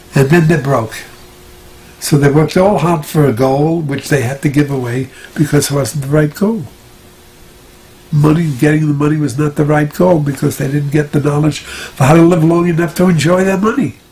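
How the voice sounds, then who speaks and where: A man with an American accent speaks at a moderate pace and a fairly high pitch. His pitch variation is ordinary, and noticeable background noise is present. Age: 90s. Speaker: retired doctor and natural health practitioner. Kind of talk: interview answer.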